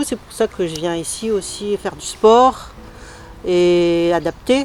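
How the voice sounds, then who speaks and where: A fairly low-pitched woman at a very slow pace, ordinary pitch variation, noticeable background noise. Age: 60s. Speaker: breast cancer patient. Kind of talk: testimony.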